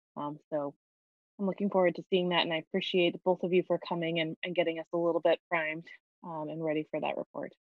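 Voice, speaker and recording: A woman with a fairly low pitch speaks very fast in a flat monotone, the sound dry with no echo and the background quiet. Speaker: city council committee chair. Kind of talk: public meeting; meeting questions and remarks. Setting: video call. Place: home room. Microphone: video call.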